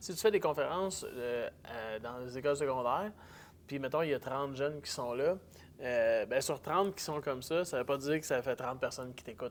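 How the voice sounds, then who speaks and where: A man with a Quebec accent speaks fairly quickly in a fairly high voice. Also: ordinary pitch variation. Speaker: public speaker. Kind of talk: casual chat. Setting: event hall.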